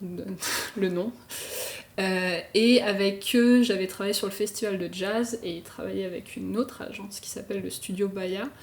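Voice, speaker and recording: Over noticeable background noise, a woman with a medium pitch speaks in fairly even intonation, her loudness swinging widely. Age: 20s. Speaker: illustrator and motion designer. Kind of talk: podcast interview. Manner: casual, many fillers.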